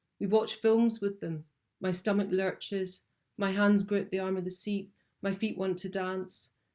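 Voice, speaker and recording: Speaking in a Scottish accent, a woman talks at a fairly slow pace with a medium pitch and flat, monotone intonation. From Scotland. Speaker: documentary filmmaker. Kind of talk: prepared talk, partly read aloud. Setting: video call webinar. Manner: hesitant, many fillers.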